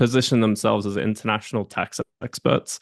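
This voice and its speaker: Speaking in an Australian accent, a man has a fairly low pitch with ordinary pitch variation. The background is quiet, and the sound is dry and close with no echo. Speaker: entrepreneur and M&A advisor. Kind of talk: casual interview chat.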